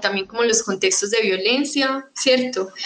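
A woman speaks at a high pitch with ordinary pitch variation over noticeable background noise. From Colombia, Medellín. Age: 20s. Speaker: youth activist. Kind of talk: panel discussion. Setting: video call.

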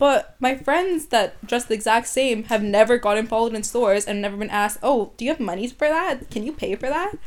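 In an ordinary speaking voice, a woman with a Canadian accent talks at a fairly quick pace with hardly any pauses. Her pitch is fairly high, on a very clean recording with a silent background. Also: lively intonation. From Vancouver, Canada. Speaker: podcast guest. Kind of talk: casual chat.

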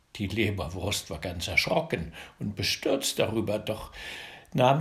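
With vocal fry and a playful, warm tone, a man's voice makes very wide pitch swings. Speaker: fairy tale narrator. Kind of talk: bedtime story telling, fairy tale read aloud. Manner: warm, gentle, slow and coaxing, with lively storyteller inflection; directly addresses children, playful.

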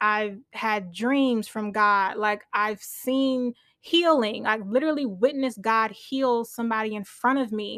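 Using an American accent, a woman talks at a fairly slow pace with hardly any pauses. Her fairly high voice has an animated tone and ordinary pitch variation. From US, Nigerian family. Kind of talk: casual sermon-style teaching.

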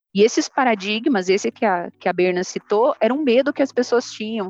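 A woman with an ordinary speaking voice talks at a moderate pace, fairly high in pitch and lively in intonation. The sound is dry and close with no echo, and the background is quiet. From southern Brazil, Ponta Grossa, Paraná. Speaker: food industry plant manager. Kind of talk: casual interview.

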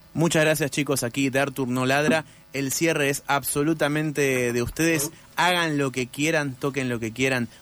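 In a porteño accent, a man with a fairly high pitch speaks at a moderate pace with fairly even intonation. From Buenos Aires city. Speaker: radio host. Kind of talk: casual interview.

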